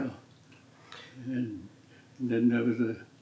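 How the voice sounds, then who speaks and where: There is noticeable background noise in this clip. A man with an American accent talks at a medium pitch. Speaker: retired professional basketball player. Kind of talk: interview answer. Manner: slow, hesitant.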